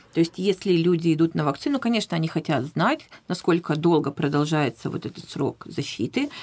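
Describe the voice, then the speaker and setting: Here is a woman with an ordinary speaking voice, fairly low in pitch. She talks at a fairly quick pace. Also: lively intonation. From Russia, Vladivostok. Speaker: professional interpreter. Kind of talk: radio interview. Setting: radio studio.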